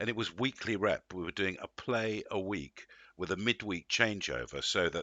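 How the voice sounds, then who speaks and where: This man has an English accent and a fairly low pitch. He talks at a moderate pace with ordinary pitch variation. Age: 60s. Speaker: actor. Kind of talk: interview.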